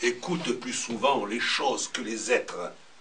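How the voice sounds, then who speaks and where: A man talks at a very slow pace. Noticeable background noise sits behind him. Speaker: storyteller. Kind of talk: poetry reading at a slam.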